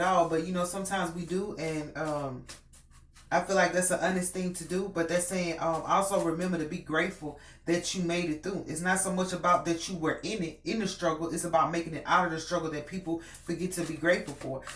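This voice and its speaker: Through noticeable background noise and audible room echo, a woman talks very fast at a fairly low pitch with monotone, flat intonation. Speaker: tarot reader. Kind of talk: tarot reading. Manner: casual, hesitant with many fillers.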